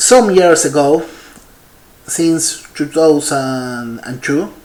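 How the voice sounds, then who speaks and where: In an Argentine accent, a man speaks at a very slow pace. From Argentina. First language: Spanish. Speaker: paleontologist. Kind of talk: conference keynote talk. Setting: virtual congress presentation. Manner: halting, many fillers.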